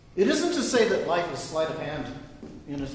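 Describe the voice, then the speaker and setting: Audible room echo mixes with noticeable background noise in this clip. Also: man. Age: 60s. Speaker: spiritual teacher. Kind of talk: sermon.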